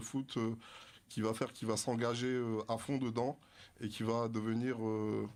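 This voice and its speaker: In a very clean recording with a silent background, a man at medium pitch speaks at a moderate pace with monotone, flat intonation. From France, Dreux (Paris region suburbs). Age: 30s. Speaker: author, adult trainer. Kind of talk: radio interview. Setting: radio studio. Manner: hesitant, many fillers.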